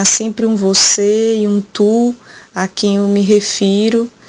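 This woman's fairly high-pitched voice comes through with noticeable background noise. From Brazil, Ceará backlands (Quixadá). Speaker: poet and visual artist. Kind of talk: recorded interview.

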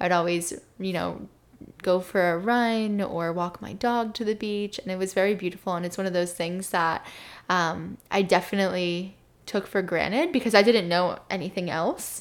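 In a plain, everyday voice, a woman with an American accent speaks at a moderate pace and medium pitch, her intonation fairly even, on a very clean recording with a silent background. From New Jersey, Jersey Shore. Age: 20s. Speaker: wellness entrepreneur. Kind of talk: interview.

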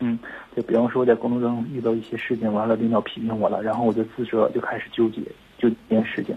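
Noticeable background noise runs through the clip. A man talks at a very fast pace. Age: 20s. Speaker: caller. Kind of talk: phone call. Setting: phone call.

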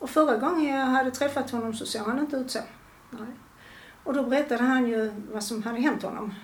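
With ordinary pitch variation, the voice comes through noticeable background noise and audible room echo. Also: woman. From Skåne, Malmö. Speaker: retired mother of a gambling addict. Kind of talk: personal testimony in interview.

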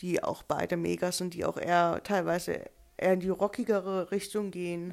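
A woman is speaking. Her voice has a medium pitch. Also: very clean recording, silent background. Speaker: podcast co-host. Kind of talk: casual chat.

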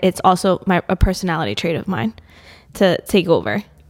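A woman talks at a fairly quick pace with lively intonation, medium pitch and vocal fry. The recording is dry and close, with no echo. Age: 30s. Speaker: gym owner and fitness coach. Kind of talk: casual chat.

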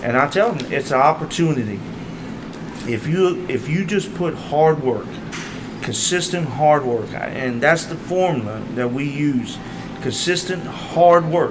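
Fairly slow speech with long, frequent pauses, ordinary pitch variation and noticeable background noise. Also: man. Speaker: powerlifting coach. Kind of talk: interview conversation.

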